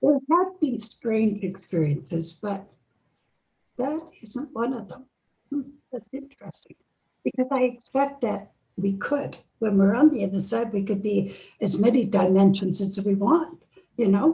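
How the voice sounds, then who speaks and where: Speaking at a fairly slow pace with long, frequent pauses, a woman uses lively intonation. Her pitch is fairly high, and her tone is dark, mellow and somewhat breathy. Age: 80s+. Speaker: near-death experience researcher and author. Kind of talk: interview conversation.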